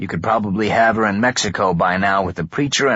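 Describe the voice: The voice offers plain reading aloud. Its pitch varies in an ordinary way.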